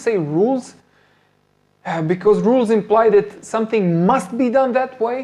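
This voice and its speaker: Someone with a Serbian accent speaks at a moderate pace. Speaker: MMA coach. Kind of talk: live stream Q&A talk. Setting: live stream on phone camera. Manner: halting, many fillers and repetitions. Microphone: phone front-facing camera, not ideal setup.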